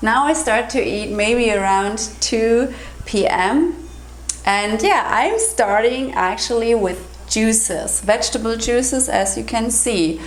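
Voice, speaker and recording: A woman talks at a very slow pace. The recording carries audible room echo and noticeable background noise. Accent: non-native. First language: German. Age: 40s. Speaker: health and raw food vlogger. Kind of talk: casual vlog tutorial. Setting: kitchen counter.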